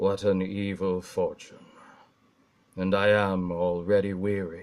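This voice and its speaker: A man's put-on character voice, fairly low in pitch, at a fairly slow pace. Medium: read story. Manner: grave, commanding.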